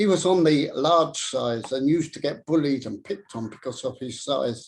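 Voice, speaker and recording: Speaking with an English accent at a moderate pace, a man has a fairly high pitch and ordinary pitch variation. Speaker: public speaker. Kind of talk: speech. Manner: stammer.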